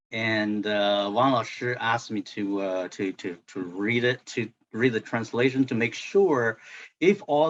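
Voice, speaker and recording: A man talks at a medium pitch with a non-native accent. His pace is very slow. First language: Chinese. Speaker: translator. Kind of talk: book club discussion. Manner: halting, many fillers and repetitions.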